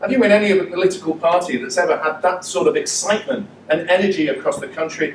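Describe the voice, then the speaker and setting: A man's high-pitched, very fast voice with ordinary pitch variation, amid noticeable background noise. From Manchester, northern England. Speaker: politician. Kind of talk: political speech. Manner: animated.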